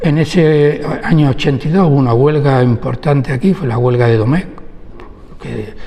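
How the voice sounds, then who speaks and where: Noticeable background noise runs through the clip. Over it, a man talks at a fairly high pitch. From Huelva, Andalusia, Spain. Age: 70s. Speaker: labour lawyer. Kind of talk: oral history interview.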